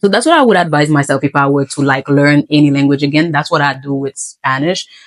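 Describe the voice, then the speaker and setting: Here a woman speaks with a Haitian accent. Her pace is fairly quick. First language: Haitian Creole. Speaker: English teacher. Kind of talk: casual talk to camera.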